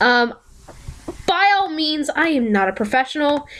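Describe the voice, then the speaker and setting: A woman with a high pitch and lively intonation at a fairly slow pace, over noticeable background noise. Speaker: sprite editing tutorial youtuber. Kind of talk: tutorial. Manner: casual, with fillers.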